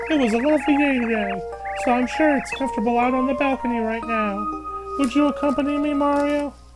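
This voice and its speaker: A put-on character voice, high-pitched and shrill, races along at a very fast pace. Loud music plays in the background. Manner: piercing tenor.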